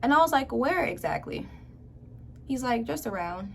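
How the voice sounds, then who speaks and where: A woman's pitch swings very widely as clearly audible background noise and room echo fill the recording. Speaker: youtuber. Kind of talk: story time. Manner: animated.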